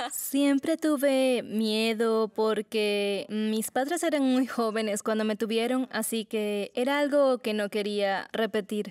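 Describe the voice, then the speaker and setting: A woman speaks at a very slow pace with a fairly high pitch. Her pitch variation is ordinary. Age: 20s. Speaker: interviewee. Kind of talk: testimony. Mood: serious, personal, reflective. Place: studio.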